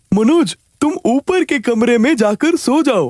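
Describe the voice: A cartoonish character voice sits at a high pitch. It goes at a fairly slow pace.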